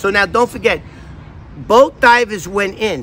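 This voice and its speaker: Noticeable background noise sits behind a man talking at a moderate pace in an American accent. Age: 60s. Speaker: vlogger, former FBI informant. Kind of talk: casual vlog talk. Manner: animated.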